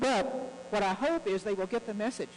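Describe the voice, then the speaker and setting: A woman with an American accent talks at a very fast pace, animated in tone and lively in intonation. Noticeable background noise runs underneath. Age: 70s. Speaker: guest speaker on US-Russia relations. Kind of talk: speech to club audience. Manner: earnest, animated.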